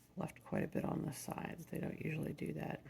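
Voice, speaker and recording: A soft-spoken man talks at a very fast pace. Noticeable background noise runs underneath. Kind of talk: ASMR soft-spoken product review.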